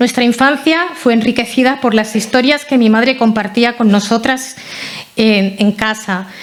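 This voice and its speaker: A woman's fairly high voice in a Catalan accent, with fairly even intonation at a moderate pace, over noticeable background noise. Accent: non-Andalusian, Catalonia Spanish. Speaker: relative of the honoree, local councillor. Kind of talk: memorial talk, partly read from a prepared text. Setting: hall with about 200 people.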